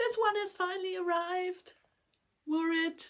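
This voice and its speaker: A woman speaking at a very slow pace. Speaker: crochet podcaster. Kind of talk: casual talk to camera.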